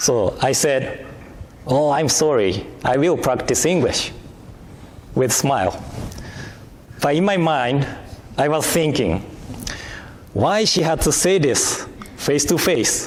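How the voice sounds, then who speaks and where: A man speaks very slowly at a fairly high pitch, with lively intonation and long, frequent pauses. Audible room echo and noticeable background noise fill the recording. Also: very even loudness. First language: Japanese. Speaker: minister. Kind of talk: sermon. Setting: temple service.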